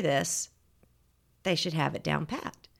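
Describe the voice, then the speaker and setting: A woman with a Southern US accent and a bright, sharp tone is heard in a very clean recording with a silent background. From Georgia, US South. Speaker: etiquette teacher. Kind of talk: casual interview.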